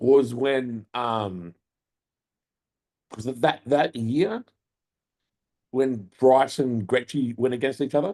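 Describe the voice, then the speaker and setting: At a very slow pace with long, frequent pauses, a man with an Australian accent talks at medium pitch with ordinary pitch variation. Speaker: podcast co-host and bodybuilder. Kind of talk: casual chat.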